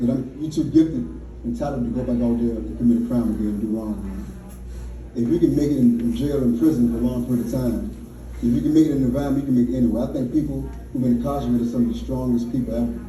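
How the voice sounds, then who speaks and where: A man with an American accent talks at a very fast pace. Noticeable background noise and room echo come through. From Richmond, Virginia, US South. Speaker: motivational speaker, formerly incarcerated mentor. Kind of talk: motivational talk to audience.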